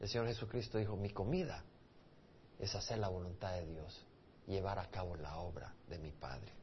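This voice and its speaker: A man's very deep, low, somewhat breathy voice with ordinary pitch variation and audible room echo. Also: moderate pace. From El Salvador. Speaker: pastor. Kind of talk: sermon.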